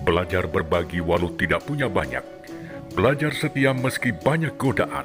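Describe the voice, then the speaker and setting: A man's medium-pitched voice at a moderate pace, with very wide pitch swings and very even loudness, music in the background. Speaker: voice actor. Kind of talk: inspirational reading.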